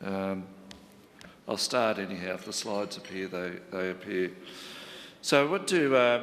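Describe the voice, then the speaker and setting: With an Australian accent, a man at a fairly low pitch speaks at a moderate pace with long, frequent pauses, and audible room echo surrounds his voice. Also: ordinary pitch variation. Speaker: local government chief executive. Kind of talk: conference presentation. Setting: conference panel with audience.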